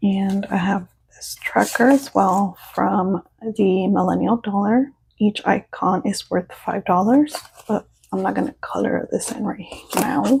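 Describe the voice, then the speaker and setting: A woman talks at a medium pitch and a fairly slow pace. Her pitch varies in an ordinary way. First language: Spanish. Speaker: budgeting YouTuber. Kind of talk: casual vlog tutorial. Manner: casual, halting with fillers.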